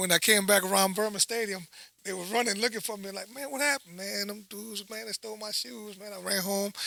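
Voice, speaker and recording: With a New Orleans accent, a man speaks in a raised, projected voice at a very fast pace and a high pitch, with ordinary pitch variation and big swings in loudness. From Dominican Republic, raised in New Orleans (Algiers) from age 8. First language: Spanish. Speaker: high school football coach. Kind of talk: casual chat. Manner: animated.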